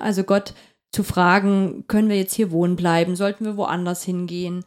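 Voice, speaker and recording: The recording is very clean, with a silent background. A woman with a dark, mellow tone speaks fairly quickly with ordinary pitch variation. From eastern Saxony (Upper Lusatia), Germany. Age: 30s. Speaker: democracy and participation trainer. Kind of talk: casual chat. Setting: studio. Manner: fast.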